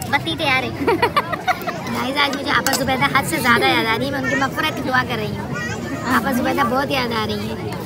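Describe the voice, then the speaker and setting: Moderate pace with long, frequent pauses, a dry sound with no echo, and crowd noise behind. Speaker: vlogger. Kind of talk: casual vlog chat. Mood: playful, joking. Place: cafe. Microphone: phone near.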